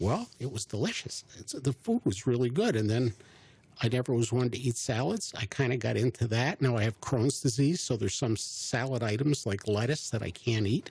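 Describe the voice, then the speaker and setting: This man's voice is somewhat breathy, at a medium pitch with ordinary pitch variation. He keeps a moderate pace. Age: 70s. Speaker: county commissioner. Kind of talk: casual interview. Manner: halting, many fillers.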